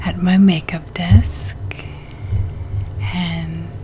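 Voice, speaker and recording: Over light background noise, a woman speaks with a very deep, low pitch and ordinary pitch variation. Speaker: ASMR creator. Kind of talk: ASMR video. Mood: relaxed, smiling. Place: home room. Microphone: studio mic.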